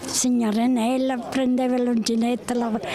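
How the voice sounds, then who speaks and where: A woman with a high pitch speaks while noticeable background noise plays behind her. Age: old. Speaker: crochet maker. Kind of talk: interview.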